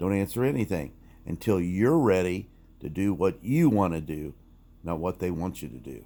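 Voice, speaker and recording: A man speaks with a very deep, low pitch and lively intonation on a very clean recording with a silent background. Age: 60s. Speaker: commentary vlogger. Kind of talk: casual monologue. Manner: conversational, some stumbles.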